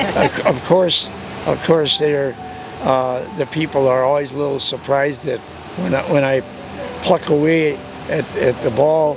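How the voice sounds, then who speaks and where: A man's fairly high voice, fairly slow and fairly even, with long, frequent pauses amid noticeable background noise. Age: 90s. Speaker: senior athlete. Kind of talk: interview. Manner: halting.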